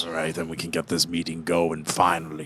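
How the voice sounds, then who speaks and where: A put-on character voice, raspy and flat in a monotone. It moves at a fairly quick pace. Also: man, very deep, low pitch for a man. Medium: actual play. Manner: scoffing.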